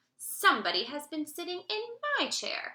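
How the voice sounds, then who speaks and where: A woman performs a put-on character voice with growling at a high pitch. She keeps a moderate pace. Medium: read story.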